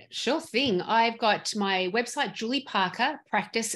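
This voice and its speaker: A woman speaks at a fairly slow pace, her fairly high voice carried by lively intonation. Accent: Australian. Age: 50s. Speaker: dental practice consultant. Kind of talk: interview.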